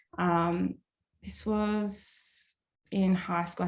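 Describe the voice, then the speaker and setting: Somewhat breathy and with ordinary pitch variation, a woman speaks in an Australian accent on a very clean recording with a silent background. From Australia, Melbourne. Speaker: artist. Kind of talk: casual chat. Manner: many fillers (like, um).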